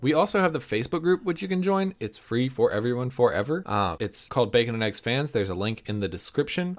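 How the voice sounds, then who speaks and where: Recorded very cleanly against a silent background, a man with an American accent speaks with very wide pitch swings. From United States. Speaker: movie review podcast co-host. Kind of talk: casual chat.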